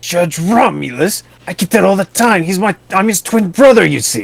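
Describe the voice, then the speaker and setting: Putting on a character voice, a man speaks high for a man at a moderate pace. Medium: game stream. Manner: unctuous, formal clergy speech.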